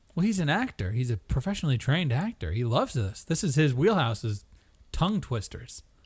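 Against a quiet background, a man talks at a fairly quick pace in a somewhat breathy, fairly high voice that swings very widely in pitch. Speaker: podcast host. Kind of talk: casual chat. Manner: joking, laughs often.

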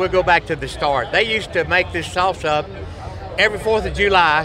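Over noticeable background noise, a man talks with a Southern US accent and ordinary pitch variation. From Arkansas. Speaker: barbecue pitmaster. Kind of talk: casual chat.

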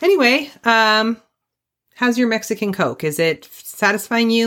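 A woman with a normal speaking voice and a fairly high pitch talks at a moderate pace in a very clean recording with a silent background. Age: 40s. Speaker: true crime podcast host. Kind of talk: casual chat with storytelling.

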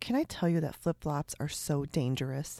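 On a very clean recording with a silent background, this woman's speech moves at a moderate pace. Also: dry, close sound with no echo. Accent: Chicago. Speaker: podcast host, sewing and quilting maker. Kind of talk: casual podcast chat and interview. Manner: chatty, laughs often.

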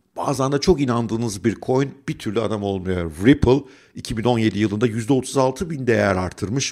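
A man's plain, everyday voice at a medium pitch and moderate pace, with ordinary pitch variation and hardly any pauses, on a very clean recording with a silent background. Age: 50s. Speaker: finance YouTuber and investment educator. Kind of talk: scripted monologue.

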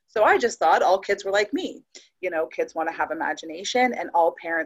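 Speaking fairly quickly, a woman has a plain, everyday voice at a medium pitch with lively intonation. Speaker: adoptive mother and FASD advocate. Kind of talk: casual chat.

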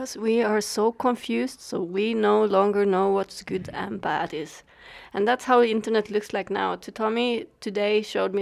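A woman with a Swedish accent at medium pitch, fairly even intonation, a moderate pace and hardly any pauses, on a very clean recording with a silent background. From Sweden. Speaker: podcast co-host. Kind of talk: casual chat.

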